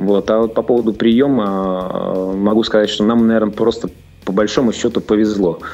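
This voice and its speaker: Over music in the background, a man speaks at a fairly low pitch with fairly even intonation and very even loudness. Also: moderate pace. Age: 40s. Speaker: businessman, game studio founder. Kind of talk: interview.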